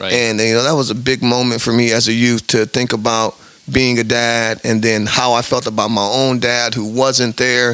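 With music playing behind him, a man in an American accent speaks at medium pitch and a moderate pace, his intonation flat and monotone and his loudness very even. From US Midwest, Omaha, Nebraska. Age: 30s. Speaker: life coach. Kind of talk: interview.

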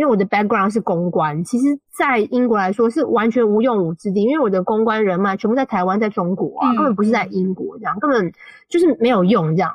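Delivery is very fast, with hardly any pauses. Loudness stays very even while the intonation is lively. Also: woman, fairly high pitch for a woman. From Taiwan. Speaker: author and marketing consultant. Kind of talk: interview.

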